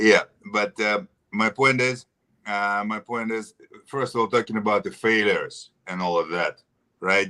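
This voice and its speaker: A man with a Russian accent talks at a fairly low pitch in a bright, sharp tone, leaving long, frequent pauses, with a dry, close sound and no echo. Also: ordinary pitch variation, moderate pace. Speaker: actor. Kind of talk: interview. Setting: live stream. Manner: halting.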